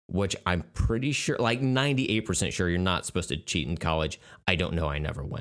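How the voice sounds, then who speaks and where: A man with an American accent and a very deep, low pitch makes very wide pitch swings, captured in a very clean recording with a silent background. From Oklahoma. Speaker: podcast co-host. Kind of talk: casual chat.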